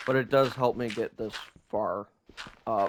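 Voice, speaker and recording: A quiet man at a medium pitch, fairly slow, with ordinary pitch variation. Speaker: gaming YouTuber. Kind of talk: gameplay commentary. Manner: quiet, sparse talk.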